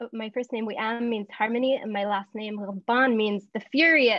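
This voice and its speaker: A woman with an American accent has an unremarkable speaking voice at a fairly high pitch. Her intonation stays fairly even. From US South. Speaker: community organizer and workbook co-author. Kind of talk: workshop introduction.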